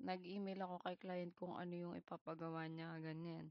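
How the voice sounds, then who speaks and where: A woman of medium pitch at a fairly slow pace. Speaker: vlogger sharing job-hunt experiences. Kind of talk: personal storytelling monologue. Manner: casual, conversational Taglish with some hesitations.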